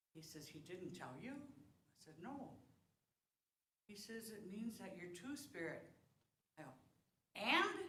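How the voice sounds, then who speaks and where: In a room with audible echo, a woman at medium pitch speaks very slowly with a bright, sharp tone, very wide pitch swings, big swings in loudness and long, frequent pauses. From South Dakota. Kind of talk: talk to congregation. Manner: casual, conversational.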